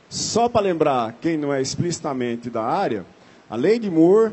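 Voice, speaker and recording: Very wide pitch swings at a moderate pace. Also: man. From Brazil, Paraíba interior (Northeast). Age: 50s. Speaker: computer science professor and chief scientist. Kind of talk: talk to an audience.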